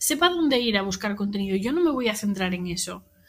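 A woman speaks in a Spanish accent. Her pace is moderate. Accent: Peninsular Spanish. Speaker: social media content creator. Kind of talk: casual chat.

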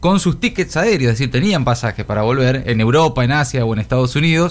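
The man's voice sits at a mid-range pitch and shows ordinary variation in pitch. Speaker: radio co-host. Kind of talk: radio news discussion. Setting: studio. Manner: halting.

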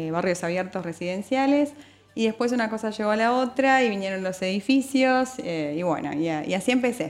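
A woman with an Argentine accent at a moderate pace. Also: fairly high pitch for a woman, lively intonation. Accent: Argentine Spanish (voseo). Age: 30s. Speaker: notary. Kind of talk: radio interview.

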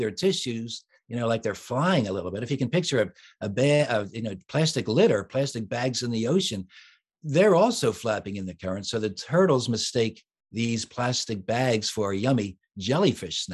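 A man with an American accent speaks in a normal speaking voice at medium pitch and a moderate pace. His intonation is lively, and the background is quiet. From US, Philadelphia. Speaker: children's author and musician. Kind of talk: interview.

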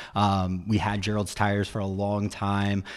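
Energetic in tone, a man speaks at a fairly low pitch. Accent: American. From Virginia, Roanoke. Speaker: digital marketing agency founder. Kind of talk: radio interview. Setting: radio studio.

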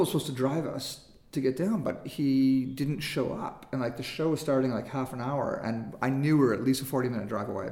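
At a moderate pace, a man with a medium pitch talks with ordinary pitch variation, and audible room echo surrounds his voice. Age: 40s. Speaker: filmmaker. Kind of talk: casual interview chat.

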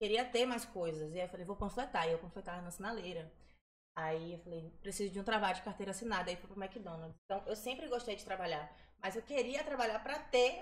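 In an ordinary speaking voice, the speaker moves at a fairly quick pace with lively intonation and big swings in loudness. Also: woman, medium pitch for a woman. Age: 20s. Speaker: dancer. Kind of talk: casual chat.

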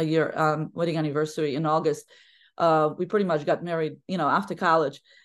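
A woman speaking at a fairly quick pace over a quiet background. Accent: Polish. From Poland. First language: Polish. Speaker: women's basketball head coach. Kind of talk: podcast interview. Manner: talkative.

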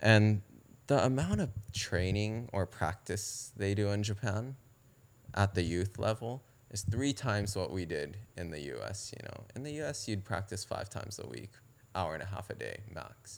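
A man's fairly low voice at a moderate pace, with ordinary pitch variation, in a very clean recording against a silent background. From Southern California. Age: 30s. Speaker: pro stand-up paddle racer. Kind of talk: casual interview chat.

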